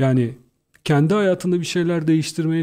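On a very clean recording with a silent background, a man with a dark, mellow tone speaks at a fairly quick pace. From Turkey, İzmir. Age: 40s. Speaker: entrepreneur and trainer. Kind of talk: radio interview.

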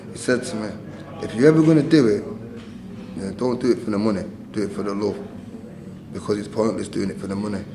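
Speaking with a Mancunian accent, a man has a fairly low pitch and ordinary pitch variation, with audible room echo and noticeable background noise. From northern England, Manchester. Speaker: retired boxer and boxing trainer. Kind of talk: interview.

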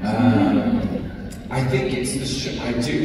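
Through noticeable background noise and strong room echo, a man speaks at a very slow pace. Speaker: actor. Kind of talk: convention panel interview answer. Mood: calm, reflective. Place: hall.

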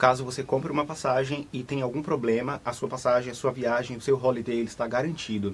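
Somewhat breathy delivery from a man at medium pitch and a fairly quick pace, with fairly even intonation. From Brazil, Salvador (Bahia). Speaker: travel agent. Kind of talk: live studio interview. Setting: studio. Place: studio.

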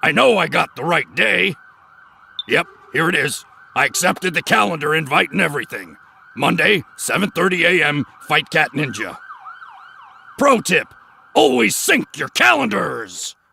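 Using a cartoonish character voice, a man speaks with a fairly high pitch and very wide pitch swings. His pace is moderate. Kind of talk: cartoon voice acting. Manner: gruff, cocky, tough-guy.

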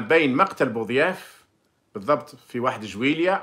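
A man with a fairly high pitch and a bright, sharp tone, at a fairly slow pace against a quiet background. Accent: Algerian. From Algeria. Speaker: former diplomat and commentator; commentator. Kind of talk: monologue commentary with personal recollection. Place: home room. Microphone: phone near.

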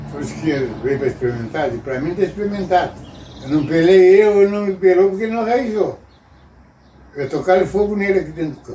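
A man speaks at a high pitch and a fairly quick pace, with lively intonation and big swings in loudness. Light background noise and audible room echo surround him. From Rio Grande do Sul, Brazil. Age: 80s+. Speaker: farmer and rural worker; interviewee. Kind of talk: interview answer, telling life stories. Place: home room. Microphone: camera far.

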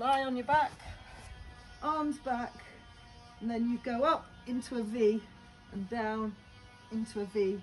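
Faint music plays in the background as the speech moves at a fairly slow pace with long, frequent pauses. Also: woman. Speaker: fitness instructor. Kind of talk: casual exercise tutorial.

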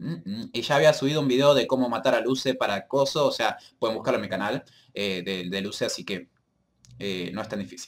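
The man speaks at a fairly quick pace with ordinary pitch variation. The background is quiet. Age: 20s. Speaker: gaming youtuber. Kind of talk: casual vlog to viewers. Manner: hesitant, many fillers. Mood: apologetic, upbeat. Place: home room. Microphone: webcam.

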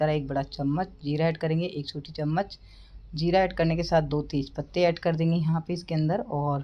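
A woman speaks with a very deep, low pitch and a dark, mellow tone. Her intonation is fairly even and her pace moderate. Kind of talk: cooking tutorial. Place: kitchen.

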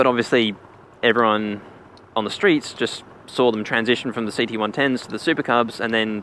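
The speech comes at a fairly quick pace with fairly even intonation, in a dry sound with no echo over light background noise. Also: man. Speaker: rider reviewing the bike. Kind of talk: casual commentary. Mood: relaxed, amused. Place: motorbike.

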